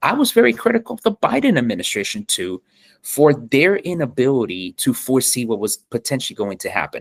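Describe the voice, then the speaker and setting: In a Spanish accent, a man with a fairly high pitch talks in an animated tone at a fairly quick pace, his pitch swinging very widely, with a dry, close sound and no echo. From Miami, Florida, of Colombian heritage. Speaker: soccer travel content creator. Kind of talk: podcast interview. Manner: animated, some stammering repetitions.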